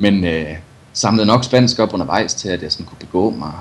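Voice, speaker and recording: A man talks at a moderate pace with lively intonation. He has an ordinary speaking voice. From Denmark, Viborg. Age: 30s. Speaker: adventure cyclist and journalist. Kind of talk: interview.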